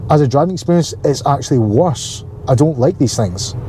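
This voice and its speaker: Amid noticeable background noise, a man with a Glasgow accent speaks fairly quickly at a medium pitch with ordinary pitch variation. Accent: Scottish (Glaswegian). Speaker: car vlogger. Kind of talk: casual vlog talk. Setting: in a car.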